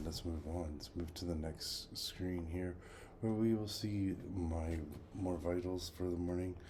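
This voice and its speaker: A man speaks at a very deep, low pitch in a dark, mellow tone that is somewhat breathy. His intonation is fairly even, and audible room echo surrounds him. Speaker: health journey vlogger. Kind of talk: casual video diary. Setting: at home. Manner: quiet.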